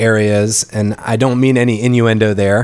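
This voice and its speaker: A man's normal speaking voice with an American accent, medium in pitch and at a fairly slow pace. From North Carolina. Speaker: podcast host. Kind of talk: interview.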